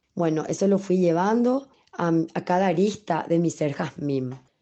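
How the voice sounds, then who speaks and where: In a normal speaking voice, a woman talks at a fairly slow pace with a fairly low pitch. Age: 40s. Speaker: ballet dancer and dance teacher. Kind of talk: interview.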